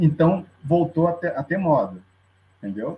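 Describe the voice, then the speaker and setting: His pitch sits high for a man. The pace is moderate. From Curitiba, Brazil. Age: 40s. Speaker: carnival street band member. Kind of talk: casual chat.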